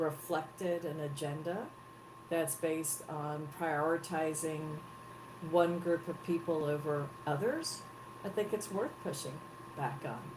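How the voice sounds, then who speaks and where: Speaking at a fairly slow pace, a woman with a very deep, low pitch is heard amid noticeable background noise and audible room echo. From Texas, US South. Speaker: head of an advocacy organization. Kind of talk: interview. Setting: live broadcast.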